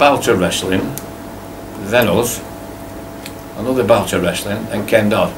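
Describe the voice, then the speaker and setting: With a Lancashire accent, a man talks at a moderate pace with ordinary pitch variation over noticeable background noise. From Blackburn, Lancashire, England. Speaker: entertainer, singer-songwriter. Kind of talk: interview answer. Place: cafe. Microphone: camera far.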